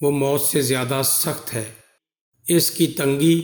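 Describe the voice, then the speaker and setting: In an unremarkable speaking voice, a man with a fairly high pitch talks with fairly even intonation. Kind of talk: religious story narration.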